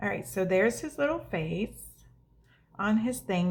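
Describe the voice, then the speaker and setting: Over a silent background in a very clean recording, a woman speaks at a moderate pace with a medium pitch. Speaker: craft video host. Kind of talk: crafting tutorial.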